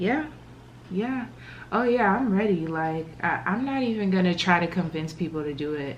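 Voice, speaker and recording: Over noticeable background noise and audible room echo, a woman speaks fairly slowly at a fairly low pitch with ordinary pitch variation. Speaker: vlogger. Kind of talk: casual chat; vlog, casual talk to camera. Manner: quiet, hushed.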